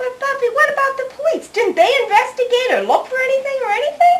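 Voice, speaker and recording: This put-on character voice is squeaky and extremely high-pitched, racing along at a very fast pace. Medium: short film.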